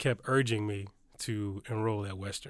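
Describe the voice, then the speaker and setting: A man with a Detroit accent, fairly low in pitch, with monotone, flat intonation, in a very clean recording with a silent background. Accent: Midwestern US (Detroit). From Detroit, Michigan. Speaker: university student-success administrator. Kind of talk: podcast interview. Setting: studio.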